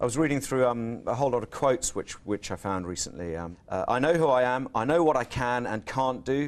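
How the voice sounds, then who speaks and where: A man with a New Zealand accent, medium in pitch, lively in intonation and fairly quick, on a very clean recording with a silent background. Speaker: TV interviewer. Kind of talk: interview.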